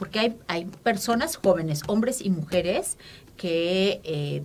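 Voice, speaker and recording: Intonation is lively while the delivery stays very slow. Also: woman. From Mexico City, Mexico. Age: 50s. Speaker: feminist activist. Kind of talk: interview. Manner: halting, many fillers.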